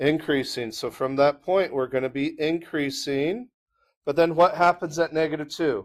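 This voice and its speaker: A man speaks in a plain, everyday voice at a fairly high pitch, with ordinary pitch variation. His pace is moderate and the background quiet. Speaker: math teacher. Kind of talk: classroom lecture.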